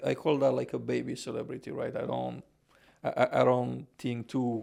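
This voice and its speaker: With a Romanian accent, a man talks at a fairly quick pace. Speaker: podcaster and housing consultant. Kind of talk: podcast interview. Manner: halting, many fillers.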